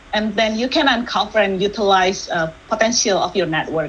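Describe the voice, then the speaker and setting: A woman talks fairly quickly with ordinary pitch variation while noticeable background noise carries on. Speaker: workshop speaker, tech industry manager. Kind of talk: online workshop presentation. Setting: video call. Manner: fast when excited; hesitant fillers (uh, um).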